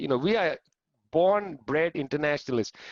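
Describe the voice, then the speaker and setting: An animated, fairly high-pitched man's voice with a strong Punjabi accent and ordinary pitch variation. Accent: thick Punjabi. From India, Punjab. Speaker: historian. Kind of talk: panel talk.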